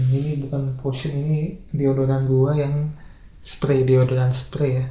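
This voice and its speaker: A soft-spoken, somewhat breathy man's voice at medium pitch and a moderate pace, dark and mellow in tone, monotone and flat, with audible room echo. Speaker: vlogger. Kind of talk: casual monologue vlog.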